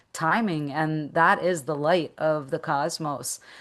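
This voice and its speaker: Her pitch is very deep and low for a woman, with ordinary variation. The background is quiet. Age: 60s. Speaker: meditation teacher and business coach. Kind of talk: interview.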